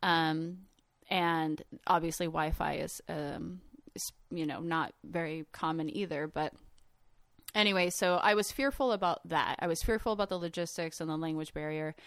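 With a fairly low pitch and ordinary pitch variation, a woman speaks in an unremarkable speaking voice. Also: moderate pace. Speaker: artist and traveler. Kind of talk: casual storytelling.

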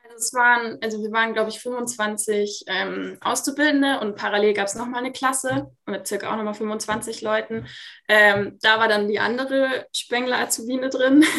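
Bright and sharp in tone, a woman speaks at a moderate pace with a fairly high pitch and ordinary pitch variation. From Munich, Bavaria. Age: 20s. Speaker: master roofer and plumber. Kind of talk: interview. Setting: video call.

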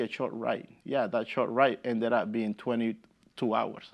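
Over a quiet background, the speaker talks with a Spanish accent. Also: man. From El Salvador. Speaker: immigrant rights organizer. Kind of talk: interview.

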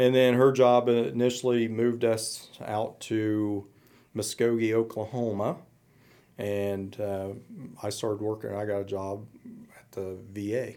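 A man talks at a fairly slow pace, leaving long, frequent pauses. His loudness swings widely while his intonation stays monotone and flat. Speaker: military veteran, veterans service officer. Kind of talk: interview. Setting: studio. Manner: hesitant, many fillers.

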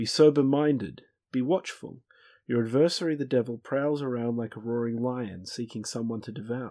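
At a moderate pace, a man in an Australian accent speaks at medium pitch with ordinary pitch variation and a dark, mellow tone, in a very clean recording with a silent background. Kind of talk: casual discussion of a Bible study lesson. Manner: dry, wry.

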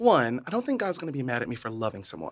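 A man with an American accent, medium-pitched and lively in intonation, on a very clean recording with a silent background. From rural Central Florida, US. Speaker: healthcare data manager and drag queen. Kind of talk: casual interview chat. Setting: studio.

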